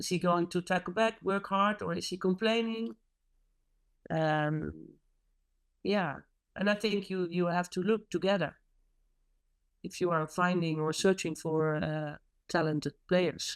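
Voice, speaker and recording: A woman with a Dutch accent speaks at a fairly slow pace, with ordinary pitch variation and long, frequent pauses. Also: fairly low pitch for a woman. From Netherlands. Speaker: hockey coach. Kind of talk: interview. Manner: halting.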